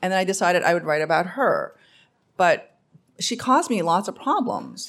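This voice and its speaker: A woman with a New York accent speaks at a fairly quick pace, medium in pitch with ordinary pitch variation. The recording is very clean, with a silent background. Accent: New York American English. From US Northeast, Queens, New York. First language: Korean. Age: 50. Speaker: novelist. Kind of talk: live panel discussion. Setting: stage with audience.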